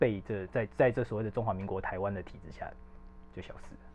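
Over music in the background, a man talks at a fairly quick pace with a fairly low pitch and ordinary pitch variation. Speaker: arts editor. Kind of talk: casual chat.

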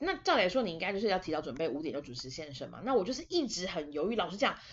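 A woman speaks in an animated tone. Her pitch makes very wide swings. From Taiwan. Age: 20s. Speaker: podcast host. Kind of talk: casual monologue.

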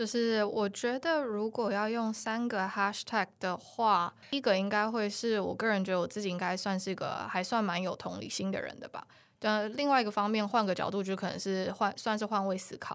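Speaking at a moderate pace, a woman keeps a medium pitch and fairly even intonation. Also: hardly any pauses, very clean recording, silent background. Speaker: e-commerce project manager. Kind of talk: interview. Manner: hesitant fillers.

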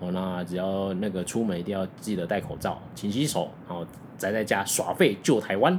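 This is an unremarkable speaking voice at a moderate pace. Pitch variation is ordinary. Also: man, fairly low pitch for a man. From Taiwan (Tainan). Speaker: podcast host. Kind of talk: casual chat.

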